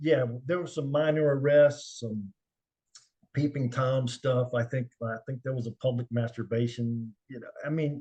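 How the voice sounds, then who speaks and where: A man's dark, mellow voice, medium in pitch and somewhat breathy, with fairly even intonation, a fairly slow pace and big swings in loudness. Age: 60s. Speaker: retired special agent, investigator. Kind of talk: interview, casual storytelling. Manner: halting, many fillers.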